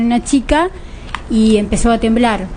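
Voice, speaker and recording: At a fairly slow pace, a woman with a fairly high pitch and ordinary pitch variation speaks over noticeable background noise. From Argentina. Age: 50s. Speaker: lawyer and social worker, co-host. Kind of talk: radio interview.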